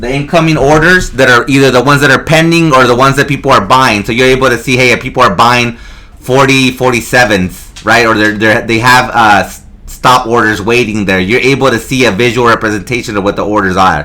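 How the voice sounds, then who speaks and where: A man speaks at a fairly quick pace with hardly any pauses. His pitch variation is ordinary, and background noise is noticeable. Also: medium pitch for a man. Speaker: trading instructor. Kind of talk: tutorial. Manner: fast.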